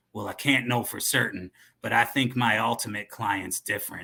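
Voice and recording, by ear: A man puts on a raspy character voice, fairly low in pitch. He keeps a moderate pace and fairly even intonation.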